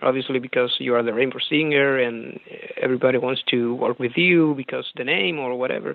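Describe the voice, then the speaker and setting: Over noticeable background noise, a speaker with a Spanish accent talks at a fairly quick pace with fairly even intonation. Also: man, medium pitch for a man. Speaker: rock singer. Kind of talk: interview. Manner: halting.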